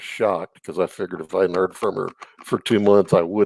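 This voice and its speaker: With a Texan accent, the speaker keeps a fairly even intonation in a dry, close recording with no echo. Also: man. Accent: Texan American. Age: 60s. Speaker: YouTuber guest. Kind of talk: casual interview about relationships.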